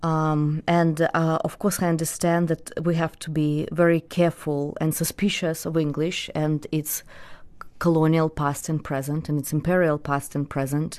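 A woman's very deep, low-pitched, flat monotone with a Russian accent, at a moderate pace over a quiet background. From Belarus. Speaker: poet. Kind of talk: interview with poetry reading.

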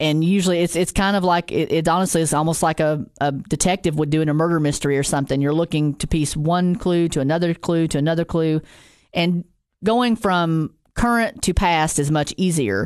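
A woman speaks at a moderate pace in an ordinary speaking voice, her pitch fairly low. Her pitch varies in an ordinary way over a quiet background. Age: 40s. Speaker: genealogy podcast host. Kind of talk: casual tutorial talk. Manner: conversational with many filler ums.

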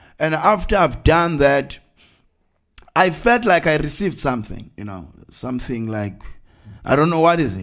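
A man with a Zulu accent speaks at a moderate pace in a fairly high voice, his pitch swinging very widely and his loudness rising and falling sharply, with long, frequent pauses against a quiet background. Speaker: evangelist. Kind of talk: sermon. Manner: halting.

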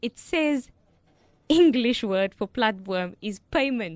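A woman speaks very slowly in a fairly high voice, her pitch swinging very widely. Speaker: radio co-host. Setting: studio.

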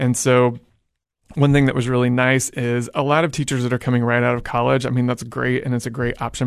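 A man speaks very fast at a medium pitch, his intonation monotone and flat, against a quiet background. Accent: American. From Oklahoma (Edmond, near Oklahoma City). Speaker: high school teacher. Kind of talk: interview.

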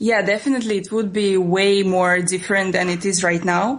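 A woman's fairly quick speech in a Russian accent, medium in pitch, over noticeable background noise. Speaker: travel blogger. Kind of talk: interview. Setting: phone call.

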